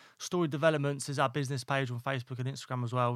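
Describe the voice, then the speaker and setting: On a very clean recording with a silent background, a man with an East Midlands accent talks at a medium pitch with fairly even intonation. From East Midlands, England (Northampton). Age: 20s. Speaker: electrician and property investor. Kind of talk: casual interview. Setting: studio.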